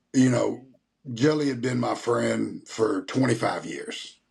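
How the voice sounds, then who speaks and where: A man talks with a Tennessee accent. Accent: Southern US (Tennessee). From US South, Nashville. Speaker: rapper and country singer. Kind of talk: interview.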